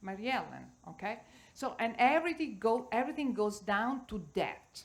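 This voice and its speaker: A woman with an Italian accent, fairly high in pitch, with ordinary pitch variation and a moderate pace. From Italy. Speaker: cooking teacher. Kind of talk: panel discussion.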